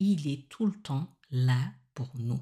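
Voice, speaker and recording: Intonation here is lively. The tone is dark and mellow, with some breathiness. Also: woman. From Senegal. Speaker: podcast host. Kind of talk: spiritual teaching monologue.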